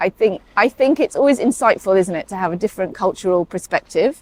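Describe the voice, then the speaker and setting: The sound is dry and close with no echo as a woman with a British accent speaks with lively intonation. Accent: sounds very British. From Saudi Arabia, then UK boarding school. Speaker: paediatric emergency doctor. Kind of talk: interview conversation. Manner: hesitant, many fillers.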